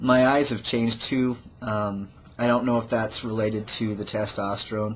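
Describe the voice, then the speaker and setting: Intonation is monotone and flat. Speech moves at a moderate pace. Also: man. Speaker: video blogger. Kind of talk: personal vlog. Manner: halting.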